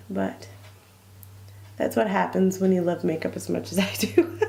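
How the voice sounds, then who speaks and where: The speaker is a woman. Her pitch sits fairly low. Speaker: beauty vlogger. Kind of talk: casual talk to camera. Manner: chatty, rambling.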